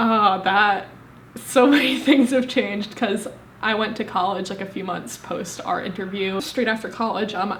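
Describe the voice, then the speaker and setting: A woman with an American accent speaks at a moderate pace in a medium pitch with ordinary pitch variation. Noticeable background noise and audible room echo surround her voice. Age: 20s. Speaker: law student. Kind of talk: interview. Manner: halting.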